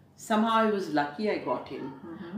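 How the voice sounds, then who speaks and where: A woman with a fairly high pitch speaks in very wide pitch swings against noticeable background noise. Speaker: radio broadcaster. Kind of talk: interview answer. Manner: jovial, lively.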